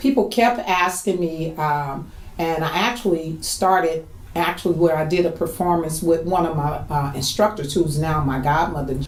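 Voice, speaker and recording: A woman speaks at a moderate pace with a fairly low pitch and ordinary pitch variation. Noticeable background noise and audible room echo are present. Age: 60s. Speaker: line dance instructor and choreographer. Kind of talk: documentary interview.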